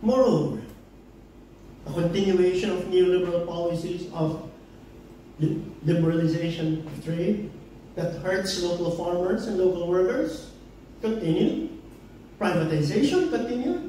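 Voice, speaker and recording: In a room with strong echo and light background noise, a man with a high pitch talks at a fairly slow pace, with ordinary pitch variation and long, frequent pauses. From Philippines, Davao. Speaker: political commentator. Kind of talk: public forum talk. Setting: pub event with audience. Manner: impassioned. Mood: indignant, critical. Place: bar.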